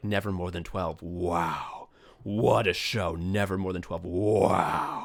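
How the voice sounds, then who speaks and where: A man growls in a put-on character voice, very deep and low, with monotone, flat intonation at a fairly slow pace. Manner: reverent, awed.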